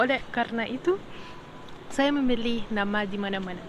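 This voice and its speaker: Speaking at a fairly slow pace with an Arabic accent, a woman uses a fairly high pitch with ordinary pitch variation. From Egypt. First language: Arabic (speaking Indonesian). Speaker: podcaster. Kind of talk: casual monologue podcast. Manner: hesitant, many fillers.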